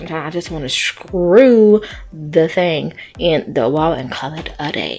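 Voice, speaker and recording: A woman with a fairly low voice speaks in an animated tone with lively intonation while music plays in the background. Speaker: YouTuber, home DIY and haul vlogger. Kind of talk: casual vlog haul review.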